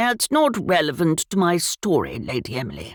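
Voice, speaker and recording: The speaker uses a put-on character voice. Delivery is at a moderate pace and a middle pitch. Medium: read story. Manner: bluff, old-fashioned gallantry.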